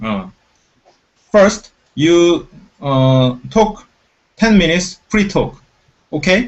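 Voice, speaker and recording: With a Korean accent, a man talks at a very slow pace in a high pitch, his voice swinging very widely and broken by long, frequent pauses. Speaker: show MC. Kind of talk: casual chat. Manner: halting.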